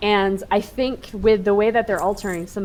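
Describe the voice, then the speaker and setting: Noticeable background noise sits under the recording. A woman is talking at a moderate pace. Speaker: gaming streamer. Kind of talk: gameplay commentary. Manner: casual, conversational.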